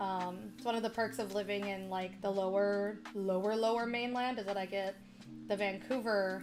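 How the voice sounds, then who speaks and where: A woman with a Midwestern accent speaks at a moderate pace in a medium pitch with fairly even intonation, with audible room echo and music in the background. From US Midwest, Chicago. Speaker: streamer. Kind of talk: casual chat. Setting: live stream.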